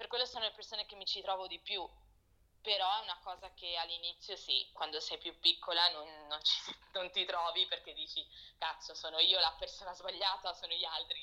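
Her volume rises and falls a great deal. The woman's delivery moves along fairly quickly. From Italy and Portugal, moved often, later London. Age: 20s. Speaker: fashion producer. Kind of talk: casual interview chat. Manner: halting.

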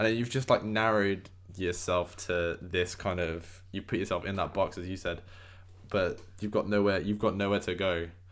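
In a British accent, a man speaks at a moderate pace with a fairly low, monotone, flat delivery, in a very clean recording with a silent background. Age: 20s. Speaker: podcast host and film student. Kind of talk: casual chat.

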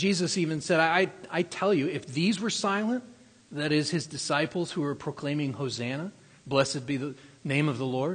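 A man's fairly high, somewhat breathy voice moves at a moderate pace, with ordinary variation in pitch. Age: 40s. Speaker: pastor. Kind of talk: sermon. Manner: halting.

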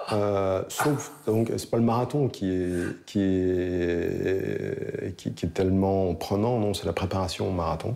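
This man's very deep, low voice has a dark, mellow tone and a very slow pace. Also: ordinary pitch variation, hardly any pauses. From Lorraine, France. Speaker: pig farmer. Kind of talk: casual interview. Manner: hesitant, many fillers.

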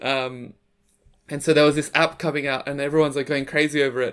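A man's fairly high voice at a fairly quick pace, captured in a very clean recording with a silent background. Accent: Australian. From Sydney, Australia. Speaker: photographer and content creator. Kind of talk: interview.

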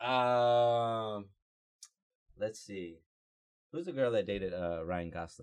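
With an American accent, a man speaks at a very slow pace with long, frequent pauses. His fairly low voice carries lively intonation. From Georgia, US South. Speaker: podcast guest. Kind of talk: casual chat.

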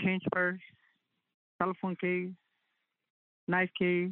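This is a woman's voice. Her pitch is fairly low. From Northwest Territories, Canada. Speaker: artist. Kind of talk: testimony.

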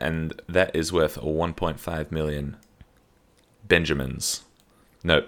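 A man's very deep, low voice with vocal fry. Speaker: podcast co-host. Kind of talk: casual comedic chat. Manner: jokey, laughs often.

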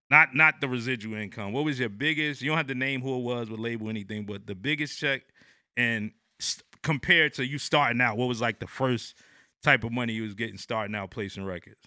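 The recording is very clean with a silent background. A man with a medium pitch and a bright, sharp tone speaks at a very fast pace with ordinary pitch variation. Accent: American. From New Jersey. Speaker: podcast host. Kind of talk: interview. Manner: halting, many fillers.

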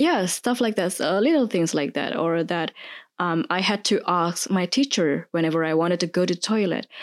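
A woman with an Indonesian accent speaks at a moderate pace and a fairly low pitch, with ordinary pitch variation. Her loudness stays very even in a very clean recording with a silent background. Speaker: podcast guest. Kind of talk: casual chat.

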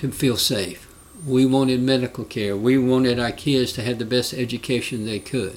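A Southern US accent at a moderate pace with fairly even intonation. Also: man. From Alabama. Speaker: congressional candidate and Vietnam veteran. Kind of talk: rally-style stump speech, earnest and argumentative, political talk. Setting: podcast interview. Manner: earnest, impassioned, plain-spoken, storytelling.

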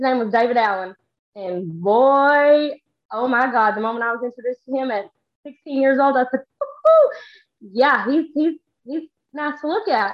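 This woman has a Texan accent and a high pitch, with lively intonation. She speaks at a moderate pace with long, frequent pauses. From Texas. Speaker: social media creator. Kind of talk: casual chat.

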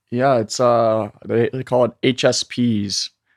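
A man with a plain, everyday voice holds fairly even intonation at medium pitch, the sound dry and close with no echo. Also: quiet background. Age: 20s. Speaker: meme creator and marketer. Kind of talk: casual interview chat.

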